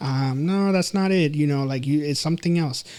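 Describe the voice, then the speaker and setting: A fairly high-pitched man with a Spanish accent and fairly even intonation. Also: very clean recording, silent background. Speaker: counselor and psychology instructor. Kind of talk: interview conversation. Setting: podcast. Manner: halting, many fillers and repetitions.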